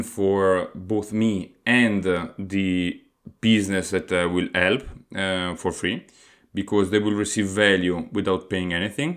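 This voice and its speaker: A man speaks at a fairly slow pace with a fairly low pitch. The recording is very clean, with a silent background. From Italy. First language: Italian. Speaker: podcast host, aspiring entrepreneur. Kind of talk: solo podcast monologue. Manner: hesitant, frequent fillers.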